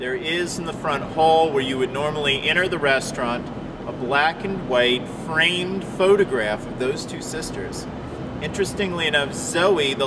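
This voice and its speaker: The man talks fairly slowly, his pitch varying in an ordinary way, against noticeable background noise. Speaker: ghost tour guide. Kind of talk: interview answer.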